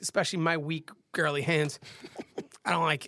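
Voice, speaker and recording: A put-on character voice, raspy and at a middle pitch, delivers its lines at a moderate pace. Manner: girly.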